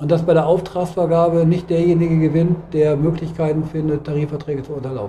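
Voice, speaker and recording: Against noticeable background noise, a man with a fairly high pitch rattles on at a very fast pace with hardly any pauses and fairly even intonation. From Hannover, northern Germany. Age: 50s. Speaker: trade union official. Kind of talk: interview. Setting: union office.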